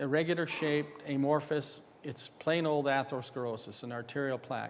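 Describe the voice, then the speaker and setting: The man's voice sits at a fairly high pitch with ordinary pitch variation. Audible room echo surrounds it. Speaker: dental radiology lecturer. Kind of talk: conference lecture. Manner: fast.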